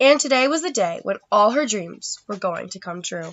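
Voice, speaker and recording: Using a put-on character voice, a raspy woman at medium pitch speaks at a moderate pace, with very wide pitch swings and big swings in loudness. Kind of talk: bedtime story. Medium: read story. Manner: calm, warm.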